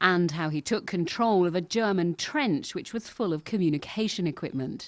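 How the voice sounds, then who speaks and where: Against a quiet background, a woman speaks in an ordinary speaking voice at a moderate pace. Her pitch is fairly low, with lively intonation. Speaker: TV news reporter. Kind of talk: TV news report narration.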